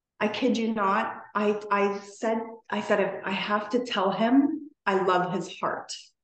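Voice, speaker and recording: Through audible room echo, a woman with a Canadian accent talks very slowly with fairly even intonation. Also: medium pitch for a woman. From Toronto, Canada. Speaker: podcast guest. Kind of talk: casual interview chat.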